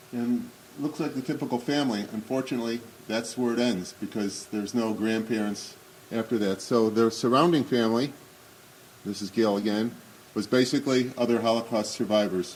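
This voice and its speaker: At a fairly quick pace, a man with an ordinary speaking voice and medium pitch talks with fairly even intonation. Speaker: Holocaust remembrance speaker. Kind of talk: commemorative talk. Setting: synagogue hall with audience. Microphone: may be speaking without microphone.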